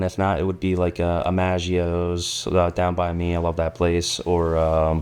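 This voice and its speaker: In a New York accent, a man talks with a very deep, low pitch. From New York City (Queens). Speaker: project manager, carpenter. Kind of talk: casual interview chat. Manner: fast; monotone.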